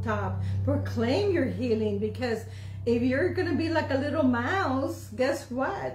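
Light background noise and audible room echo accompany a man speaking at a fairly slow pace. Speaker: pastor; church preacher. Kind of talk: sermon / preaching. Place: home room. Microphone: phone near.

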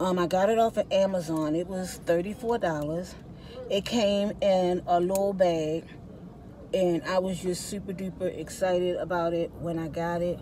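This woman speaks at a fairly slow pace in a fairly low pitch, with fairly even intonation. The sound is dry with no echo, over light background noise. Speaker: vlogger. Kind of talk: casual vlog chat. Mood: cheerful, chatty. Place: car. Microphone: phone near.

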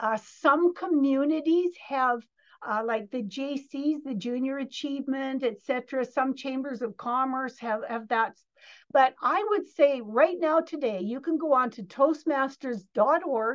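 A woman speaks at a fairly slow pace with a high pitch and ordinary pitch variation. The background is quiet. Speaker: interview guest. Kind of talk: interview answer.

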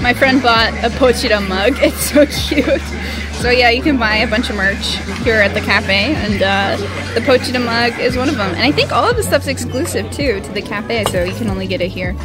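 A woman's voice, dry with no echo, over clear background music. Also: moderate pace. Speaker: travel vlogger. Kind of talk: casual vlog chat. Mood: cheerful, curious. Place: cafe. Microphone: phone near.

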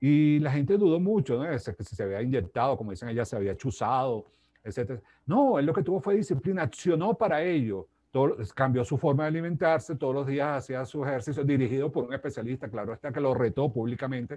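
A man's dark, mellow tone at a fairly quick pace, with lively intonation. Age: 60s. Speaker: life coach and speaker; life coach, speaker. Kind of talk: interview. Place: home room. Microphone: earbuds.

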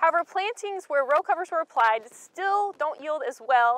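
A woman speaks at a moderate pace in a high voice with very wide pitch swings. The sound is dry, with no echo. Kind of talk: extension talk presenting trial results. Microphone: lapel.

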